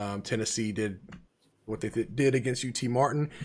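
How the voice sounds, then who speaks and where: A man speaks at a moderate pace. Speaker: podcast host. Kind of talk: casual chat.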